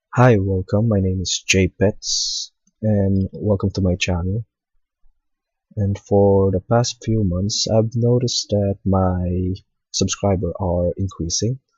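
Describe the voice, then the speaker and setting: Very slow, somewhat breathy speech from a man with a non-native accent, fairly low in pitch, with fairly even intonation. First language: not English. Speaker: hobbyist 3D modeling tutorial maker. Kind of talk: tutorial. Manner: hesitant, frequent fillers.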